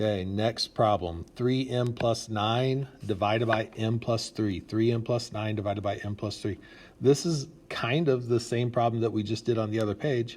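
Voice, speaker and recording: Speaking at a moderate pace, a man with a medium pitch sounds somewhat breathy, his intonation fairly even. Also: very clean recording, silent background. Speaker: math teacher. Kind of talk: tutorial.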